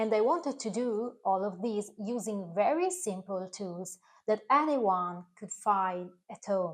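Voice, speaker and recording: A woman with an Italian accent, medium in pitch with ordinary pitch variation, at a fairly slow pace, with big swings in loudness against a quiet background. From Italy. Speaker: recipe video creator. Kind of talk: direct-to-camera talk. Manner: slightly halting, non-native.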